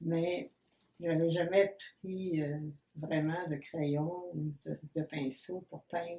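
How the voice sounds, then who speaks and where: A woman with a Quebec accent talks very slowly in a fairly low pitch, with fairly even intonation and long, frequent pauses. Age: 80s+. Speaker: painter. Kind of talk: interview. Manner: hesitant.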